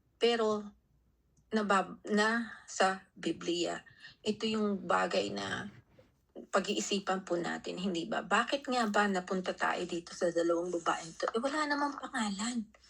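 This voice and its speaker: A woman with vocal fry speaks at medium pitch and a fairly slow pace with ordinary pitch variation, on a very clean recording with a silent background. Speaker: Bible study speaker. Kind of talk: Bible teaching.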